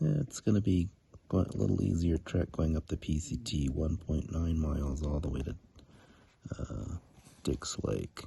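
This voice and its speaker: The tone is dark and mellow, with vocal fry. Delivery runs at a fairly slow pace with ordinary pitch variation. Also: man. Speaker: hiker vlogger. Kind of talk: outdoor vlog narration. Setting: outdoors at wilderness campsite.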